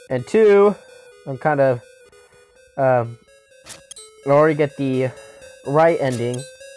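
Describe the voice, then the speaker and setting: The speech moves at a fairly slow pace with long, frequent pauses. Music plays in the background. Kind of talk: casual let's play gameplay commentary.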